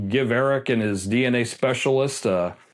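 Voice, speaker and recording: With an American accent, a man speaks at a moderate pace and medium pitch, using ordinary pitch variation. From US East Coast (Washington DC). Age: 60s. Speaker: independent crime investigator. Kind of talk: interview. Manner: hesitant, many fillers.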